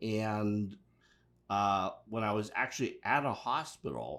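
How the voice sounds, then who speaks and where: At a fairly slow pace and fairly low pitch, a man with a plain, everyday voice speaks with an American accent and fairly even intonation in a very clean recording with a silent background. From Pittsburgh, US. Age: 60s. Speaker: mental health resources coordinator. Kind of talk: interview.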